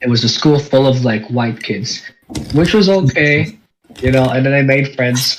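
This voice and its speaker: A man's somewhat breathy voice at a medium pitch and a moderate pace. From Philippines, moved to New Zealand at eight. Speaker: podcast co-host. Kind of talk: casual chat.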